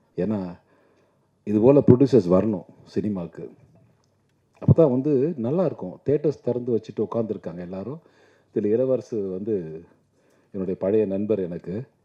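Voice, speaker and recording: Fairly low in pitch, a man talks in a normal speaking voice with ordinary pitch variation. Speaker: film actor. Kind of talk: speech at a film audio launch event.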